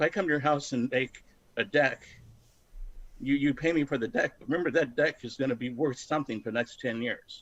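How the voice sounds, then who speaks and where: A man with a fairly high pitch talks at a fairly quick pace, with ordinary pitch variation, in a normal speaking voice. The background is quiet. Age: 60s. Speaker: retired IT programmer. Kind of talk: casual chat.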